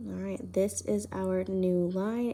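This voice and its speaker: A woman speaks quietly in a dark, mellow tone with fairly even intonation. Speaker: high school math teacher. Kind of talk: recorded lesson for students.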